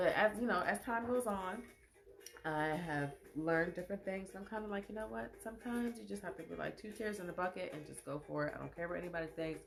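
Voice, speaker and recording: Noticeable background noise sits behind a woman talking at a very fast pace. Her pitch is medium and her intonation lively. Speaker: live show host and poet. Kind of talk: casual livestream monologue. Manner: animated.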